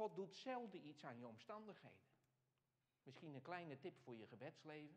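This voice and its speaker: This man has a fairly high pitch and very wide pitch swings. His pace is moderate. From Netherlands, Alblasserwaard (South Holland). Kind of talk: Q&A after a lecture. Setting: hall with live audience and microphone. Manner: halting, with many fillers. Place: church. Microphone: lapel.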